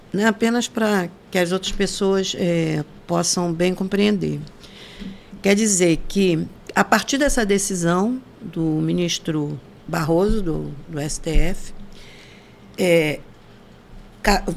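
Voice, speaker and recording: At a very slow pace, a woman of medium pitch speaks with ordinary pitch variation and long, frequent pauses. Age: 70s. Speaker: podcast host. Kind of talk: podcast interview.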